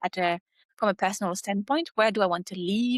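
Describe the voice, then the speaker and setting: A woman speaks at a medium pitch with ordinary pitch variation in a normal speaking voice. The recording is very clean with a silent background and a dry, close sound with no echo. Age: 30s. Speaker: marketing executive. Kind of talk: podcast interview.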